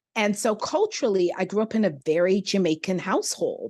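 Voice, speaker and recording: At a moderate pace, a woman speaks in an ordinary speaking voice. The background is quiet. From Canada, Toronto. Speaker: playwright and performer. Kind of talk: interview.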